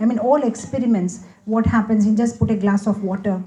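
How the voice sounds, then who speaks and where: Very fast and with fairly even intonation, a woman talks at medium pitch in an Indian accent. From India, Hyderabad. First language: Gujarati. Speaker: spiritual speaker. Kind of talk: Q&A talk.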